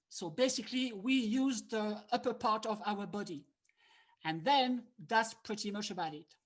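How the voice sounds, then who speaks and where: A somewhat breathy woman with a French accent, fairly high pitch, moderate pace and ordinary pitch variation. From France. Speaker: harmonica player and teacher. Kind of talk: online workshop lecture. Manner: animated.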